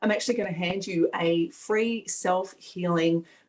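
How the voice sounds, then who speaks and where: A woman speaks with an Australian accent. Her pitch rises and falls in an ordinary way. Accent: Australian, natural. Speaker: energy healing facilitator. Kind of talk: online event presentation. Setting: video call.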